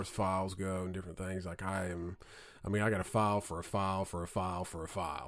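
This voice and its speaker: A man speaks at a fairly quick pace with a slight Southern accent. The recording is very clean, its background silent. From southern Indiana. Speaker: podcast host. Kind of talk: casual chat. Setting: studio.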